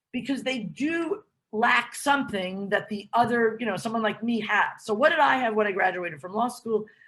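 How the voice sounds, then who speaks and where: A woman speaks with an American accent in an ordinary speaking voice, her pitch fairly high and its variation ordinary. She keeps a moderate pace with hardly any pauses. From United States. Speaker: law school dean. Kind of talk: interview Q&A advice.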